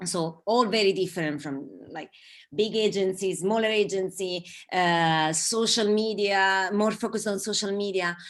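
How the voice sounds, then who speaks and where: A woman speaks at a moderate pace in an Italian accent, her medium pitch and fairly even intonation set against a quiet background. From southern Italy. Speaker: advertising creative. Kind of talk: online talk interview. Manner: halting, many fillers.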